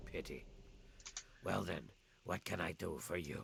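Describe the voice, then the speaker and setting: Over clear background noise, a man puts on a character voice that is raspy and very deep. He speaks at a moderate pace. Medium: video game. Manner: brisk, enthusiastic, faintly sinister.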